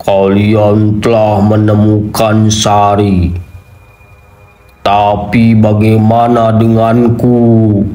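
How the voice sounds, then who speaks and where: Putting on a growling character voice, a man at fairly low pitch speaks very slowly in a flat monotone, with music in the background and audible echo. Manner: angry, growling.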